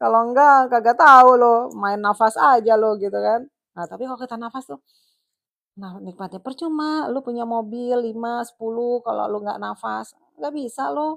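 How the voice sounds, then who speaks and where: A woman speaks at a moderate pace with ordinary pitch variation and big swings in loudness. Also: fairly high pitch for a woman. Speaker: live streamer. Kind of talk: casual live stream chat. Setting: solo live stream. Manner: chatty, nonstop talking.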